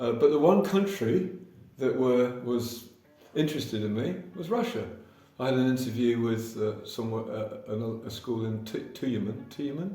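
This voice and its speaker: Over music in the background and audible room echo, a man with an English accent speaks at a moderate pace in a medium pitch with lively intonation. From England. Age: 60s. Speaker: English teacher. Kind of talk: casual interview. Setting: anti-cafe in Kazan. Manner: hesitant, many fillers.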